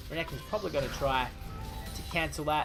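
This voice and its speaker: A man with an Australian accent sounds excited, with music playing in the background. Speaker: gaming commentator / shoutcaster. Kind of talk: esports-style game shoutcast commentary. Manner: excited, fast-paced play-by-play.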